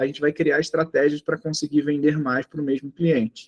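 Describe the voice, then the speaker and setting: The recording has a dry, close sound with no echo, and the speaker talks with a Rio de Janeiro accent. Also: man. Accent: carioca. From Rio de Janeiro, Brazil. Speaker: sales trainer. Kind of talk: online training lecture.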